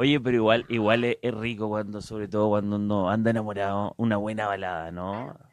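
A man with a fairly low pitch speaks at a fairly quick pace with hardly any pauses, the sound dry with no echo. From Chile. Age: 40s. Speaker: radio host. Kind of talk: radio interview; reading out viewer comments. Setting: radio studio, live broadcast. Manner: animated. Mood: playful, joking. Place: studio. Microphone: handheld.

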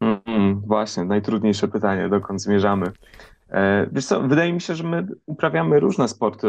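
Fairly low-pitched and lively in intonation, a man talks at a fairly quick pace in a plain, everyday voice. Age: 30s. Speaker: podcast co-host and book author. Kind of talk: radio interview. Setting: remote link.

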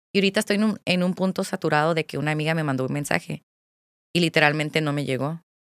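Speaking very fast, a woman with a very deep, low pitch uses ordinary pitch variation, recorded dry without echo over a quiet background. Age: 20s. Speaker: content creator; podcast guest, content creator. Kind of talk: casual chat. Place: studio. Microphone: studio mic.

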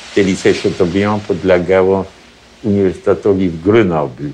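Fairly even intonation at a moderate pace over light background noise. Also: man. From Poland. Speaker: retired Polish emigrant, community leader in Italy. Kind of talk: interview answer, oral history recollection. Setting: interview. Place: home room.

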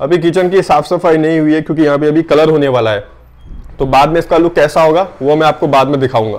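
With intonation that stays fairly even, a man delivers his words at a moderate tempo. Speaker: cafe owner vlogger. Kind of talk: casual vlog tour. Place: kitchen. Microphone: phone near.

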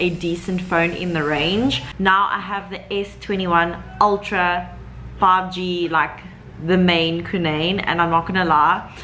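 At a fairly slow pace, a woman speaks in a monotone, flat intonation with a fairly low pitch over light background noise. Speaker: vlogger. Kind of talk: casual vlog chat. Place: home room. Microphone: phone near.

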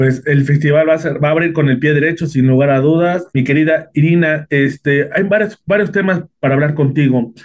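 This man talks at a fairly quick pace and fairly high pitch, with hardly any pauses. His loudness stays very even and his intonation fairly even. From Mexico. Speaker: interviewer. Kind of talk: interview. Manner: halting, with many repetitions. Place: home room. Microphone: video call.

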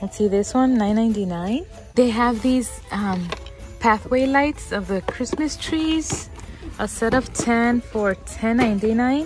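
Over clear background music, a woman speaks at a very slow pace with ordinary pitch variation, the sound dry with no echo. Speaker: shopping vlogger. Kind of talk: casual vlog chat. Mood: cheerful, excited. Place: shop. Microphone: phone near.

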